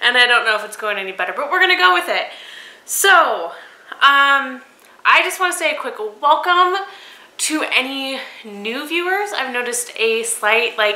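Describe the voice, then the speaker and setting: A woman projects her voice at a high pitch, with very wide pitch swings and a moderate pace. She leaves long, frequent pauses, and audible room echo surrounds her. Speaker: knitting podcast host. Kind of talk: casual video podcast monologue. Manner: casual with frequent fillers.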